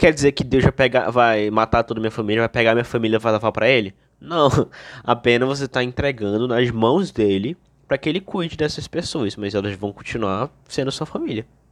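A man talks fairly quickly in an ordinary speaking voice, at a medium pitch with ordinary pitch variation. The sound is dry and close, with no echo. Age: 20s. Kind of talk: religious Q&A explanation.

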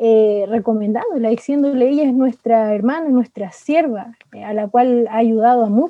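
A woman speaks with a Chilean accent at a moderate pace. Her voice is high, with ordinary pitch variation. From Chile, Santiago (San Bernardo). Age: 20s. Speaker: missionary. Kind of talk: interview testimony.

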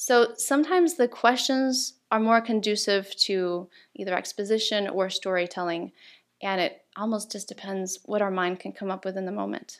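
Recorded very cleanly against a silent background, a woman of medium pitch speaks at a moderate pace in an unremarkable speaking voice. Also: ordinary pitch variation. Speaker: table topics champion and workshop speaker. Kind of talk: interview answering host's questions, explaining tips.

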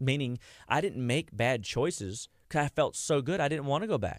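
An ordinary speaking voice, a man talks at a moderate pace with lively intonation, the sound dry and close with no echo on a very clean recording with a silent background. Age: 40s. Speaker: nutrition clinician. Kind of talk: radio interview. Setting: studio.

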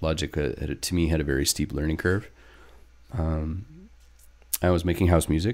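In a very clean recording with a silent background, a man with a Western Canadian accent and a very deep, low pitch speaks at a fairly quick pace with vocal fry, ordinary pitch variation, and long, frequent pauses. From northern British Columbia, Canada. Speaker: techno DJ and producer. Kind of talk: casual chat.

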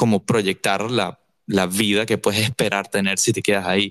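In a Venezuelan accent, a man speaks at a moderate pace, recorded with a dry, close sound with no echo. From Caracas, Venezuela. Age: 20s. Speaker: musician. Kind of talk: casual chat.

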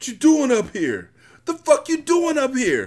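A man puts on a character voice at an extremely high pitch, swinging very widely in pitch at a fairly slow pace with a slightly mellow tone.

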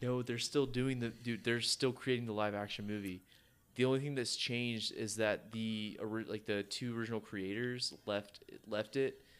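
A man speaks with medium pitch at a moderate pace. His intonation is monotone and flat. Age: 20s. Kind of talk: casual chat.

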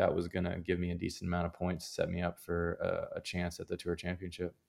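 Speaking at a fairly quick pace, a man with a fairly low pitch has an ordinary speaking voice. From Canada. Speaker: professional golfer. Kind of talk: interview.

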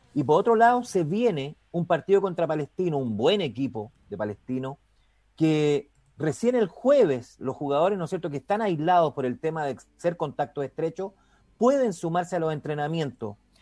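A man with a dark, mellow tone swings his pitch very widely. The sound is dry and close with no echo. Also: fairly high pitch for a man, moderate pace. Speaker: sports radio host. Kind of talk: radio show hosting.

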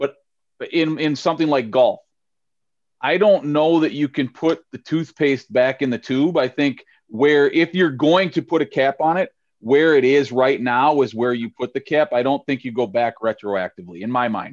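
In a normal speaking voice with an American accent, a man talks at a moderate pace with ordinary pitch variation, the sound dry and close with no echo over a quiet background. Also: fairly high pitch for a man. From St. Paul, Minnesota. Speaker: podcast host and high school softball coach. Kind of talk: casual chat.

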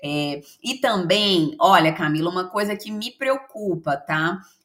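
At a fairly slow pace, a woman with an ordinary speaking voice and medium pitch talks with lively intonation. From Brazil, Minas Gerais (Belo Horizonte). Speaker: HR consultant and mentor. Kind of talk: podcast interview.

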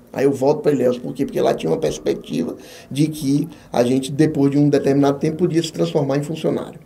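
Over noticeable background noise, a man with a fairly high voice talks at a very fast pace. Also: ordinary pitch variation. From Bahia, Brazil (Jequié). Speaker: business support consultant and author. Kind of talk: podcast interview.

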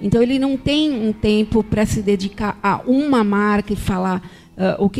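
At a moderate pace, a woman speaks in an unremarkable speaking voice pitched fairly high. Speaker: marketing agency executive. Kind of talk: podcast interview.

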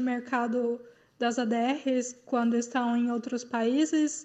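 A woman's high voice with a dark, mellow tone, at a very slow pace. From Goiânia, Brazil. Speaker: listener caller, investor. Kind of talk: recorded listener question. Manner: hesitant, many fillers.

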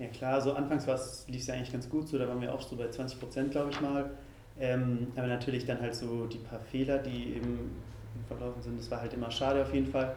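Speech comes at a very fast pace in a monotone, flat delivery, with audible room echo and noticeable background noise. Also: man, medium pitch for a man. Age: 20s. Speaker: youth political group spokesperson. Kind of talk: interview.

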